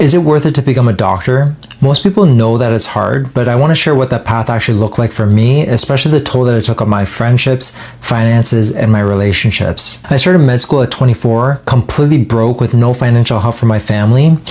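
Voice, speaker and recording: Over noticeable background noise, a man talks very fast at a medium pitch with hardly any pauses. His loudness stays very even while his pitch varies in an ordinary way. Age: 30s. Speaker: doctor. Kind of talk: personal testimony.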